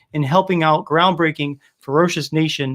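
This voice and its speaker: With ordinary pitch variation, a man talks in a high pitch. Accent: American. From US Northeast, Rhode Island (Cranston, Providence). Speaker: beard oil business owner and livestream host. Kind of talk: casual livestream chat. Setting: live stream. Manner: animated.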